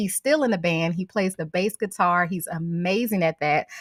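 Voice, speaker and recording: A woman with a Southern accent speaks in a fairly low pitch, her tone bright and sharp. The pitch varies in an ordinary way, and the sound is dry and close with no echo. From St. Louis, Missouri. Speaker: home cook. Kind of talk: casual chat.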